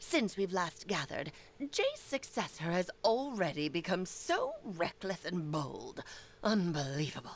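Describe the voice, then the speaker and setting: A woman's put-on character voice at a medium pitch, delivered at a fairly slow pace. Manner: imperious, scornful.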